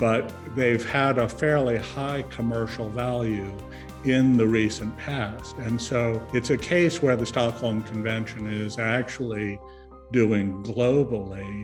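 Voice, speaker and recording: Over music in the background, a man with a fairly low pitch talks at a fairly slow pace with ordinary pitch variation. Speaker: former UN environment official. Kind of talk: interview answer.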